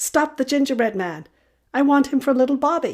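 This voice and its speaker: At a moderate pace, a female-sounding voice uses a raised, projected put-on character voice at a high pitch. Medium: read story.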